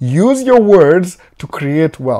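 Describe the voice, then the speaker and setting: A man's voice on a very clean recording with a silent background. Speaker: vlogger. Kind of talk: motivational talk. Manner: loud, yelling; code-switching English and Swahili.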